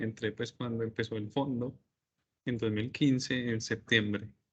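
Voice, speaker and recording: A man speaks with a Paisa Colombian accent. His intonation is monotone and flat. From Colombia, Medellín. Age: 30s. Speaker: business administrator. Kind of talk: online interview.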